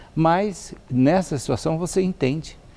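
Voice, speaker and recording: A man's dark, mellow tone comes across against a quiet background. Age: 70s. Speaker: professor of ethics. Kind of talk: TV interview. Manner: halting, many fillers.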